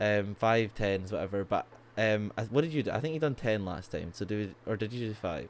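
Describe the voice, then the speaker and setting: A man with a Scottish accent, at a fairly low pitch with ordinary pitch variation and a fairly quick pace. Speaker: podcast co-host. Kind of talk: casual chat. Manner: halting, many fillers.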